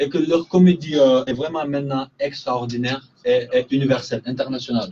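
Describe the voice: A man speaks at a fairly quick pace and medium pitch, his dark, mellow tone showing a slightly husky edge and little pitch movement.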